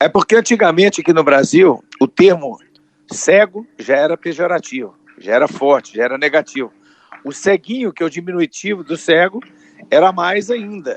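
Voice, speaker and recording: Speaking with lively intonation, a man uses a high-pitched voice. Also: moderate pace. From Brazil, Minas Gerais. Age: 60s. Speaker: comedian. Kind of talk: interview.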